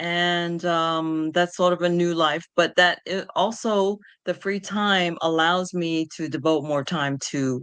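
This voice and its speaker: Against a quiet background, a woman with a New York accent speaks at a very deep, low pitch. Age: 60s. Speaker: patient advocate. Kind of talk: interview. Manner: halting.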